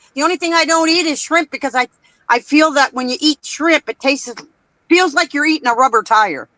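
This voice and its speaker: A woman's raised, projected voice, high-pitched with a bright, sharp tone and ordinary pitch variation, the sound dry and close with no echo. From Canada. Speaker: participant in a live-stream chat. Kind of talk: casual chat. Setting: live stream.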